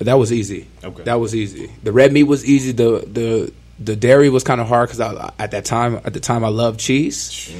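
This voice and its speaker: With an American accent, a man at a medium pitch speaks in an ordinary speaking voice at a fairly quick pace, with fairly even intonation and hardly any pauses. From Southern California, Ontario. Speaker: former NFL player. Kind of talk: casual chat.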